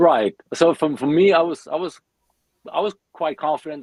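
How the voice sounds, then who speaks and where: A man speaks in a German accent. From Germany. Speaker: metal bassist. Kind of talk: podcast interview.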